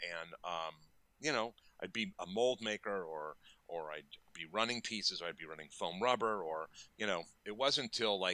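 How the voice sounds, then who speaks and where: A man speaks at a moderate pace with a fairly low pitch and a bright, sharp tone. His speech has long, frequent pauses. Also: ordinary pitch variation. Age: 60s. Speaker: makeup effects artist. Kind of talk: interview. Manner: rambling, repetitive false starts.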